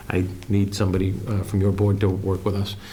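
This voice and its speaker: Amid noticeable background noise and audible room echo, a man with a very deep, low voice talks at a very fast pace. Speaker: town administrator. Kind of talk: public meeting discussion. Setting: town board meeting.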